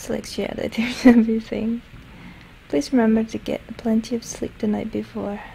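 Noticeable background noise accompanies whispering at a moderate pace. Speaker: ASMR let's play gamer. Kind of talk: ASMR game playthrough commentary. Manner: whispered, soft-spoken.

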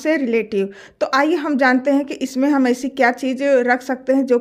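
A woman talks at a moderate pace in a high pitch, with fairly even intonation. The background is quiet. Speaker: home tips creator. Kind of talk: tutorial.

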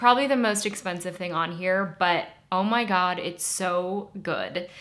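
A woman with a plain, everyday voice, medium pitch, ordinary pitch variation and a moderate pace. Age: 30s. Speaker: beauty YouTuber. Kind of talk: product review monologue. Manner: conversational.

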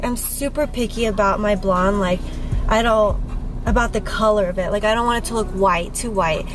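A woman at a fairly quick pace with fairly even intonation, in a dry sound with no echo and faint music in the background. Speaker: vlogger. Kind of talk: casual vlog chat. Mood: relaxed, chatty, laughing. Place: car. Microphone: phone near.

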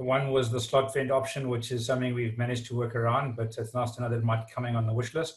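A man talks at a fast pace with medium pitch and little pitch movement. There is audible room echo.

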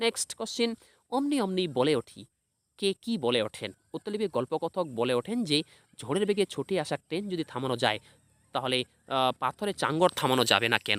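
A man with a fairly high pitch and a fairly bright tone speaks at a moderate pace, his pitch swinging widely, in a dry, close sound with no echo.

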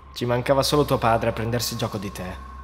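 Noticeable background noise runs behind a man talking at a moderate pace with a medium pitch. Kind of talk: scripted creepypasta narration in second person, told as a ghost story. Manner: hushed, suspenseful, dramatic and tense, building dread.

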